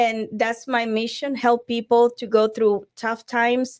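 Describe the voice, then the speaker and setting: In a very clean recording with a silent background, a woman with a Spanish accent speaks at a fairly slow pace in a fairly high pitch. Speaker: divorce coach. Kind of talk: podcast interview. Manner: halting.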